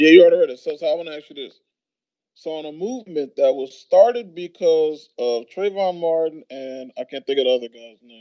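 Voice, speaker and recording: This is a man's ordinary speaking voice, fairly high in pitch, at a fairly quick pace. His pitch varies in an ordinary way while his loudness swings widely. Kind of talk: casual talk to camera.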